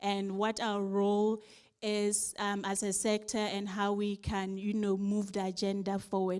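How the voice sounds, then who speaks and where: With a Ghanaian accent, a woman speaks at a fairly slow pace. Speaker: civil society delegate giving feedback. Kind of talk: conference report-back.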